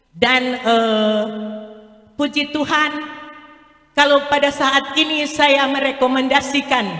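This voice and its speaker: Against noticeable background noise, a woman speaks at a high pitch and a very slow pace. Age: 60s. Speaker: multi-level marketing sales leader. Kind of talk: product presentation.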